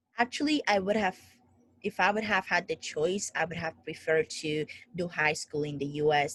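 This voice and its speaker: A woman speaks at a moderate pace with a Spanish accent and a very deep, low pitch. Her intonation is fairly even, and the sound is dry and close with no echo. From Dominican Republic. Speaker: founder of a coaching group. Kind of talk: interview.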